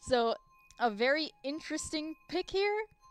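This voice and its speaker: Music can be heard behind the voice. The speaker is a woman. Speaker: esports caster. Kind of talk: live commentary. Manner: fast; animated.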